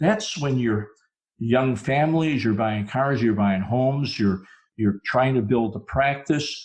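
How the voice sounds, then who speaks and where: Lively intonation marks this man's speech, delivered at a fairly slow pace. He has an ordinary speaking voice with a medium pitch. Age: 60s. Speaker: dentist turned speaker and consultant. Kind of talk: podcast interview.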